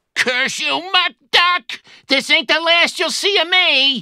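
The voice is extremely high-pitched and the pace is very slow. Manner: tough, slangy.

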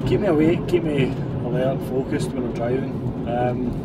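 Over loud background noise, the speaker keeps a moderate pace. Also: man. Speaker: van driver vlogger. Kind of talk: casual vlog chat. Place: car. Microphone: phone near.

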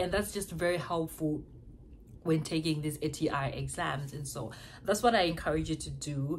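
Over light background noise, a woman with an African accent speaks at a moderate pace in a very deep, low voice with vocal fry and ordinary pitch variation. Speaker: nursing student. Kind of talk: advice vlog. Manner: casual, conversational. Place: home room. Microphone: phone near.

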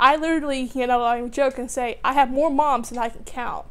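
A woman speaks at a high pitch. Her intonation stays fairly even. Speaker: graduate student. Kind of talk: testimony. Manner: halting, many fillers. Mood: warm, reflective. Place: home room.

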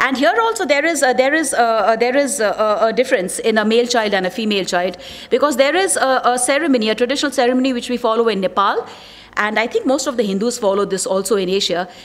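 Her speech comes at a very fast pace, as a woman with a high pitch uses lively intonation. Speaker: conference presenter. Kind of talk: presentation talk. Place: hall. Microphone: podium.

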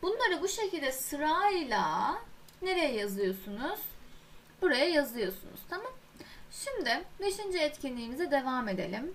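A woman speaks very slowly with a high pitch and very wide pitch swings. Audible room echo is present. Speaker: English teacher. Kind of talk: lecture. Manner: halting.

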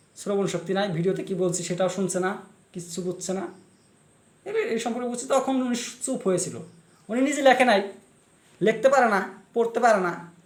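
A man's high, animated voice with audible room echo. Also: ordinary pitch variation. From Assam, India (Kokrajhar/Goalpara/Barpeta area). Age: 30s. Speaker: video blogger and writer. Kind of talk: monologue rant to camera.

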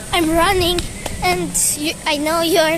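A woman is heard with music in the background. The sound is dry, with no echo. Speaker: vlogger filming. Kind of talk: casual vlog chat. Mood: apologetic, playful. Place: shop. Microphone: phone near.

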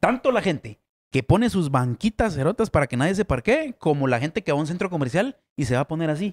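A man's fairly high voice at a very fast pace, with very wide pitch swings. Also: quiet background. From Guatemala. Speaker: comedy podcast co-host; podcast host. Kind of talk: casual chat. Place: studio. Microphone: studio mic.

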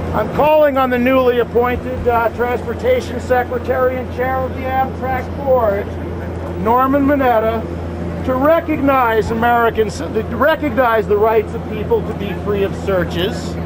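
A man speaks at an unhurried, moderate pace against noticeable background noise. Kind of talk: public protest speech. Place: station. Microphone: camera far.

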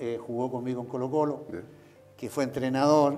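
Faint background music behind a man at a moderate pace with fairly even intonation. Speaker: interviewee. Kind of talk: interview answer. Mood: grateful, emotional recollection. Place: office. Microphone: lapel.

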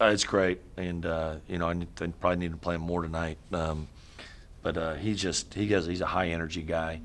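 A man speaks at a low pitch and a fairly quick pace. His pitch shows little movement.

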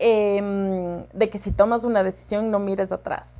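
A woman speaks with a Cuenca Ecuadorian accent. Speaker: herpetologist. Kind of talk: casual interview. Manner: animated. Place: office. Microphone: lapel.

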